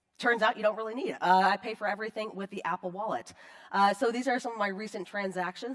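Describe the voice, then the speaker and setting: A woman talks at a very fast pace with ordinary pitch variation. Noticeable background noise is present. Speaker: conference speaker on digital forensics. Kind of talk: conference talk. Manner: casual, filler-heavy.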